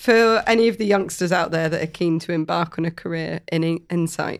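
A woman's fairly low-pitched, unremarkable speaking voice at a fairly quick pace, with ordinary pitch variation and a quiet background. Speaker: podcast co-host. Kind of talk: casual podcast interview.

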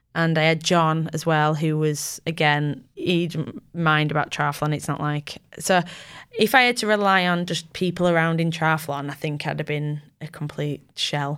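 A woman with a Yorkshire accent and a very deep, low pitch, her intonation fairly even, at a moderate pace, in a very clean recording with a silent background. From Yorkshire, England (Bramham, near Tadcaster). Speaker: triathlete. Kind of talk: casual interview chat. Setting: studio.

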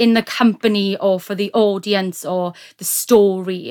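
In a South Welsh accent, the voice moves at a very slow pace in a flat monotone, recorded very cleanly with a silent background and a dry, close sound with no echo. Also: woman. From South Wales, Neath. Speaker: actor. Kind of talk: casual chat.

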